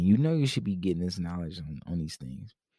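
A man's very deep, low voice with a dark, mellow tone on a very clean recording with a silent background. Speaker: podcast host. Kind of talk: casual monologue. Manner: rambling, loose.

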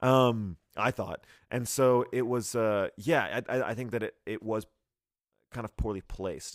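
On a very clean recording with a silent background and a dry, close sound with no echo, a man of medium pitch speaks with a slight Texas accent. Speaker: podcast host. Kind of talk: casual banter, movie review podcast. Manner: halting, stumbling, excitable.

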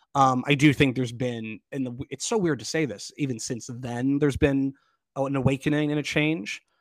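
The man has a plain, everyday voice. He speaks at a moderate pace with fairly even intonation. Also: medium pitch for a man. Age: 30s. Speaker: actor and arts festival director. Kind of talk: interview.

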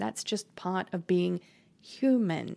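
A woman's voice carries a dark, mellow tone and lively intonation. The sound is dry and close, with no echo. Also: very clean recording, silent background. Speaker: manifestation podcast host. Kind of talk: solo motivational talk.

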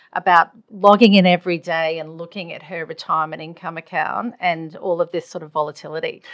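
A woman with an Australian accent, fairly low-pitched, at a moderate pace, with big swings in loudness against a quiet background. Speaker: podcast host. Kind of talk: casual interview chat.

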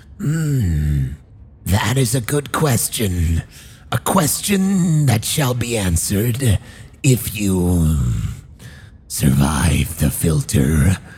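A put-on character voice, low in pitch, swings very widely up and down at a very slow pace. Light background noise can be heard. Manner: enigmatic, ominous.

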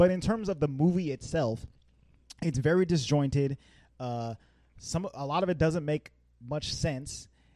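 A dark, mellow tone broken by long, frequent pauses. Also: man, fairly high pitch for a man, ordinary pitch variation, fairly slow pace. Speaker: podcast host. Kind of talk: casual chat.

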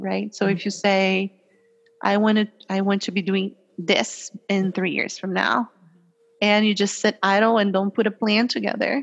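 A woman speaks with a Portuguese accent. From Brazil. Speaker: compliance executive. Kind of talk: interview.

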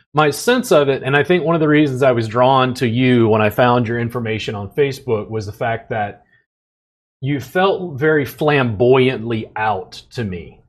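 A man at a medium pitch in a normal speaking voice. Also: ordinary pitch variation, moderate pace. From US South, Louisiana. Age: 40s. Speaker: podcast host and massage therapist. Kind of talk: casual chat.

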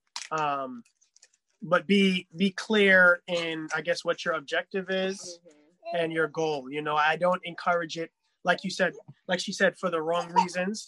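A man with a New York accent speaks in a high pitch with a bright, sharp tone. His pace is fairly slow, and the sound is dry and close with no echo. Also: fairly even intonation. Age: 30s. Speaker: DJ and musician. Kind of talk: casual chat.

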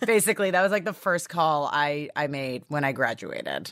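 In a Canadian accent, a woman speaks very deep and low with lively intonation. The recording is very clean with a silent background. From Canada, Toronto. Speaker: chef and TV host. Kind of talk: interview conversation. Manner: loud.

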